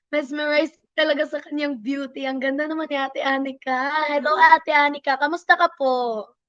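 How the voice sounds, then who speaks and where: Loud and high-pitched, a woman speaks with monotone, flat intonation. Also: fairly quick pace. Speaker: youth co-host. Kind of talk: casual chat.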